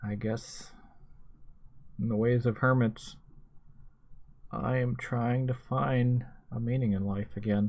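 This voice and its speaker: Very slowly and with long, frequent pauses, a man speaks at medium pitch in a somewhat breathy voice with fairly even intonation. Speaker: YouTuber, night-shift worker. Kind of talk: personal vlog monologue.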